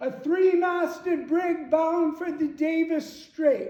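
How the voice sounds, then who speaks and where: A man performs a put-on character voice at an extremely high pitch. His raised, projected voice carries a clear echo. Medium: stage play. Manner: hearty, expansive, grandiloquent.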